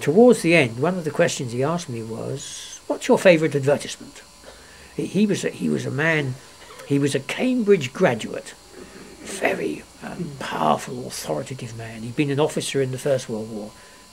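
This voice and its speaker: A man at a moderate pace, with big swings in loudness and noticeable background noise. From London, England. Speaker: grandfather telling his life story. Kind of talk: reading aloud; casual chat. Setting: at home, being filmed.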